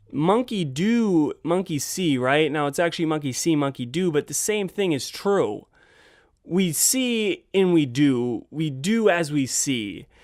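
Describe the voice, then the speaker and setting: A man with a high-pitched voice speaks on a very clean recording over a silent background. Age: 20s. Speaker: podcast host. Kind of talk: motivational podcast talk.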